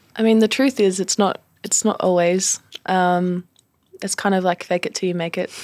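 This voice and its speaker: An Australian accent comes through with fairly even intonation. The recording is very clean, its background silent. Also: woman, medium pitch for a woman, moderate pace. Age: 20s. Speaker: boxer. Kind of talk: interview. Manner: halting.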